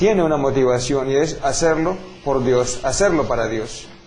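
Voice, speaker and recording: With a Colombian accent, a man speaks at a moderate pace in a fairly high voice, with audible room echo and noticeable background noise. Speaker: priest. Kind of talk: interview answers. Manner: formal.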